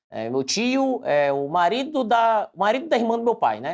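A man is speaking. His pitch swings very widely. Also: quiet background. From Bahia, Brazil (Porto Seguro); Bahia, Brazil. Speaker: civil servant and online exam-prep teacher; online exam-prep teacher. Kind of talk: interview. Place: office. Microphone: lapel.

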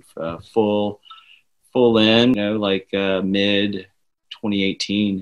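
A man with a fairly low pitch and an American accent, speaking at a very slow pace. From US South. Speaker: network engineer. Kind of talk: casual chat.

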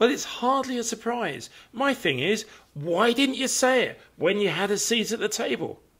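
A man with a British accent and an extremely high pitch, ordinary pitch variation and a moderate pace, against a quiet background. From Britain. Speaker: comedic news commentator. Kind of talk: comedic commentary. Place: home room. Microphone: studio mic.

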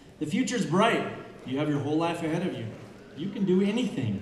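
Light background noise and audible room echo around a male speaker. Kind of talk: commencement speech. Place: stage. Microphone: podium.

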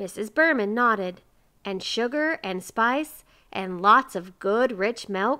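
The text is read aloud plainly with lively intonation.

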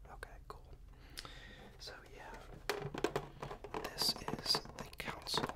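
Whispering, a man goes along very slowly. He stops often, and the pauses are long. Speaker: ASMR roleplay performer playing a game store assistant. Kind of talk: ASMR roleplay, casual salesperson talk to the viewer. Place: home room.

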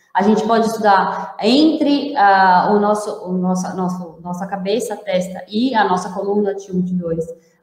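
Against a quiet background with audible room echo, a woman talks at a moderate pace with ordinary pitch variation and hardly any pauses. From Brazil. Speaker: interpreter and host translating the talk. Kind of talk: live lecture with interpreting. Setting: online live stream. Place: home room. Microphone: earbuds.

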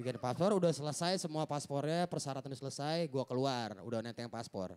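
Fairly quick and lively, a man speaks. His pitch sits fairly high. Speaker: stand-up comedian. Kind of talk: stand-up comedy. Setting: stage with audience. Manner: animated. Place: stage. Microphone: handheld.

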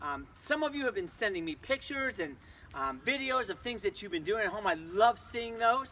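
Over light background noise, a man speaks in a raised, projected voice at a fairly quick pace, his pitch swinging very widely. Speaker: physical education teacher. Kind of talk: tutorial. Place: street. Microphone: camera far.

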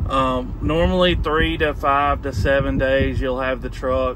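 A man with a medium pitch speaks with fairly even intonation over clear background noise.

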